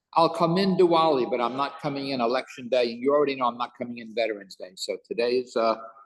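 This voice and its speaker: An ordinary speaking voice at a moderate pace, with ordinary pitch variation. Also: man. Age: 60s. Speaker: rabbi and teacher. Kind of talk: casual chat before a Torah class; Torah class.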